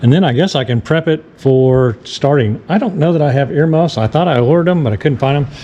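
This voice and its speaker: A man races along at a very fast pace with ordinary pitch variation, noticeable background noise behind him. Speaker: boat DIY youtuber. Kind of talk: tutorial. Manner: casual, halting.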